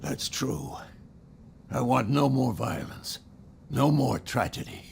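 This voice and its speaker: A raspy, put-on character voice moves at a fairly slow pace with ordinary pitch variation. Clear background noise is present. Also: man, medium pitch for a man. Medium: video game. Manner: gruff, guarded.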